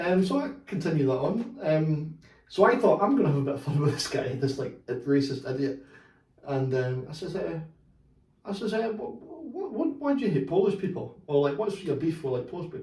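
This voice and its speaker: With a Scottish accent, the speaker talks at a fairly quick pace with lively intonation, and audible room echo is present. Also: man, fairly high pitch for a man. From Scotland. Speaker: football podcast host. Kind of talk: casual chat.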